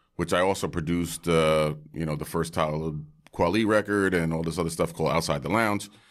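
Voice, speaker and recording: This man has a very deep, low voice and a New York accent. His intonation is fairly even, and the recording is very clean with a silent background. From Brooklyn, New York. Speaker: hip-hop producer and wine entrepreneur. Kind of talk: casual chat.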